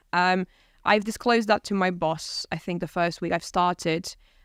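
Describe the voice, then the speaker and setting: A woman speaks at a fairly low pitch. The recording is very clean, with a silent background and a dry, close sound with no echo. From Poland. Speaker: university staff member and recent graduate. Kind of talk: conversational interview. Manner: fast.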